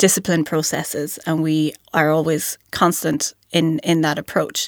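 With a western Irish accent, a woman speaks at a very deep, low pitch in a monotone, flat way at a fairly slow pace, the recording very clean with a silent background and a dry, close sound with no echo. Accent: Irish, west of Ireland. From Ireland, County Mayo. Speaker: investment analyst. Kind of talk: casual professional discussion. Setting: studio.

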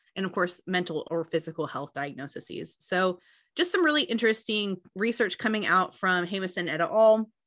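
A woman has an ordinary speaking voice at medium pitch, with lively intonation and a moderate pace. The background is quiet. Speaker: financial planning education consultant, former extension educator. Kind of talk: casual conversation, podcast discussion.

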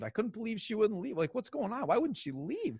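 Against a quiet background, a man with an American accent speaks with very wide pitch swings. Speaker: school superintendent. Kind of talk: interview. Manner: loud.

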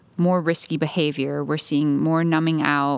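A woman speaks at a moderate pace with a very deep, low pitch and a monotone, flat intonation. The recording is very clean, with a silent background. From Puerto Rico. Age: 30s. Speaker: young adult pastor. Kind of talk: casual chat.

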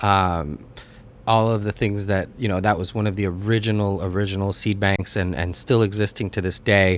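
A man with a plain, everyday voice and a General American accent speaks at a moderate pace, with a fairly low pitch and fairly even intonation. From United States. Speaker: podcast host and cannabis cultivation writer. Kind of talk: casual chat.

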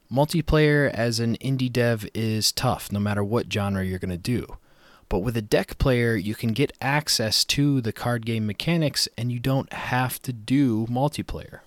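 A man's medium-pitched voice at a fairly slow pace with ordinary pitch variation, in a dry, close sound with no echo and a very clean recording with a silent background. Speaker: game development podcast host. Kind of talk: solo educational podcast. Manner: occasionally botches words.

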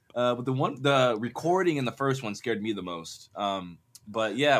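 This man speaks with an American accent at a medium pitch, his intonation lively. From Arizona, US. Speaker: cinematographer and podcast host. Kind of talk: casual chat.

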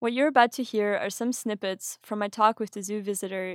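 A woman with a German accent speaks at a moderate pace in a fairly high voice, her intonation fairly even. The sound is dry and close with no echo, on a very clean recording with a silent background. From Austria. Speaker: podcast host. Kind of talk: scripted narration.

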